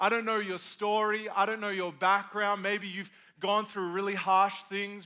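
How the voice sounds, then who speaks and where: A man's raised, projected voice, high-pitched, bright and sharp, animated in tone, at a moderate pace. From Australia. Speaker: pastor. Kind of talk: sermon. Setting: stage with audience.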